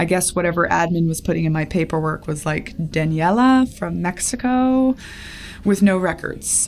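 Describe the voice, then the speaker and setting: With noticeable noise around her, a woman talks at moderate speed. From raised abroad in a cult, Latin America. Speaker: cult escapee and culture consultant. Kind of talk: podcast interview, personal story. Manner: animated storytelling.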